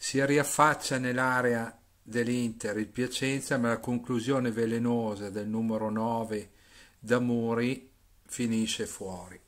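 The speech moves at a very slow pace in a flat, monotone delivery, captured on a very clean recording with a silent background. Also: man, medium pitch for a man. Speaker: football commentator.

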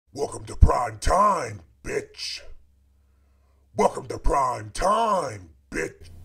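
In a put-on character voice, a man speaks raspily at a very slow pace with long, frequent pauses. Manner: menacing, taunting.

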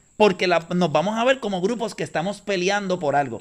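Before a quiet background, a man talks in a high voice with ordinary pitch variation. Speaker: podcast guest. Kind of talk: casual chat. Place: garden. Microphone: studio mic.

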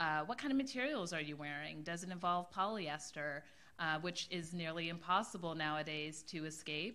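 A woman speaks in a fairly low pitch. Her tone is bright and sharp. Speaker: fashion studies lecturer. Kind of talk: panel discussion. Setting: stage with audience. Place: classroom. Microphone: podium.

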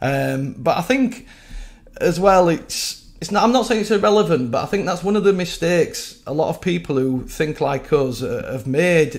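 A man speaks in a West Yorkshire accent at a high pitch. His intonation is lively and his pace is moderate. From West Yorkshire, England. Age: 40s. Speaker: web developer sharing views. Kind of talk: casual video monologue. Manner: rambly, hesitant. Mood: sad, frustrated. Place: home room. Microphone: webcam.

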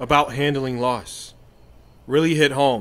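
A man puts on a drawling character voice at a fairly slow pace, in a very clean recording with a silent background. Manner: despairing, defeated drawl.

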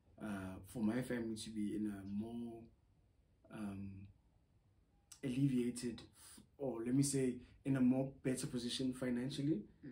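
A somewhat breathy man speaks with long, frequent pauses. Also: fairly even intonation, moderate pace. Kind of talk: casual vlog chat. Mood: reflective, calm. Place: home room.

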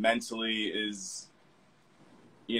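A man is speaking here. His tone is bright and sharp. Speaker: fashion model. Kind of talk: casual chat. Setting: video call. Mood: calm, reflective. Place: home room. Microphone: video call.

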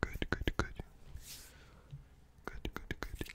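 A man whispering. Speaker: ASMR creator. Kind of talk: ASMR sleep video. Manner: whispered. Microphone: studio mic.

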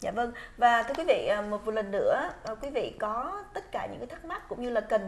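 Her pace is moderate, and the woman has an unremarkable speaking voice. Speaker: TV show host. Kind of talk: interview on a health program. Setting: studio. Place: studio. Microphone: lapel.

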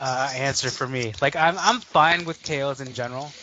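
Fairly high-pitched for a man, this voice moves at a moderate pace with ordinary pitch variation over noticeable background noise. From Chicago, US Midwest. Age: 30s. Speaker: toy collector guest. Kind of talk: casual chat.

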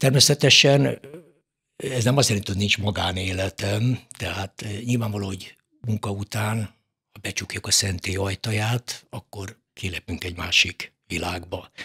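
The tone is bright and sharp. The pace is fairly slow. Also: man, fairly low pitch for a man, ordinary pitch variation, quiet background. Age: 70s. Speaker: mortician; guest. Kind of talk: casual chat; interview answer. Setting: studio. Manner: halting. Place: studio. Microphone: studio mic.

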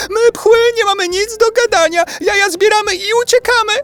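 A man's squeaky, put-on character voice at an extremely high pitch, moderate pace, with faint music in the background. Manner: fast, panicked.

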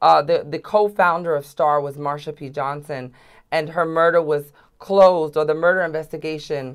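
With an American accent, a woman speaks at a moderate pace in a very deep, low voice with fairly even intonation over a quiet background. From New York City, Upper West Side; New York City. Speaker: transgender activist; guest. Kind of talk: interview. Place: studio. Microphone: lapel.

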